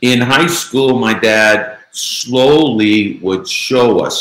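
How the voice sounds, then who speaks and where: The speaker is a man. He talks with a Chicago accent. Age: 60s. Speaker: author and former mob insider. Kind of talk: interview.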